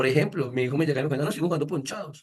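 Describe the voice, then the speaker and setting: Somewhat breathy, this voice moves at a very fast pace. Its pitch variation is ordinary. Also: man. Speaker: education speaker. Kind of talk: lecture.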